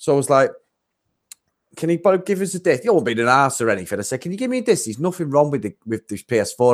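A man rattles off words very fast with lively intonation, recorded very cleanly against a silent background. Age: 40s. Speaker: podcast host. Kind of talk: casual chat.

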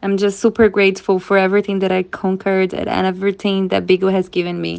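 Her intonation is flat and monotone, and this woman's voice sits at a medium pitch. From Brazil. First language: Portuguese. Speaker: social media influencer and live streamer. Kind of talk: interview.

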